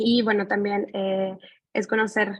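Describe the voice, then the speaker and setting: At a moderate pace, a woman with a medium pitch speaks in a flat monotone. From Mexico. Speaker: graduate student. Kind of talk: thesis presentation.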